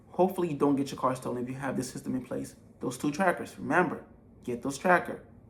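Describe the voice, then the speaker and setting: Animated in tone, a man with vocal fry speaks at a fairly high pitch with ordinary pitch variation. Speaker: entrepreneur giving business advice. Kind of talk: tutorial. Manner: fast.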